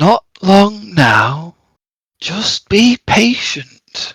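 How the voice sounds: A croaky, put-on character voice carries the whole clip. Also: man, high pitch for a man.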